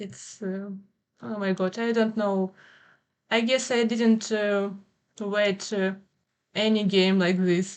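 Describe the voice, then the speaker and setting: Long, frequent pauses break up a woman's very slow speech, delivered in a non-native accent at medium pitch with fairly even intonation. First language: Ukrainian. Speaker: streamer and artist. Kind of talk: livestream chat while drawing. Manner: halting.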